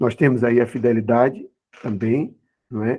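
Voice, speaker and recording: A man with a dark, mellow tone. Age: 60s. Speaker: Bible school teacher. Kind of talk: Bible class lesson. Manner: halting, many fillers.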